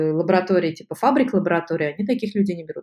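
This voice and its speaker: This is a woman's voice. Her pitch is medium. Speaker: molecular biology postdoc. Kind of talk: interview.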